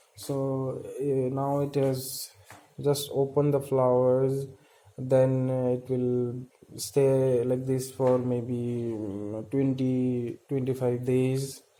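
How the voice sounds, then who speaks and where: Against noticeable background noise, a man with a medium pitch talks very slowly in a monotone, flat voice. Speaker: plant hobbyist video creator. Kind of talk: casual show-and-tell tutorial. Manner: hesitant, many filler sounds.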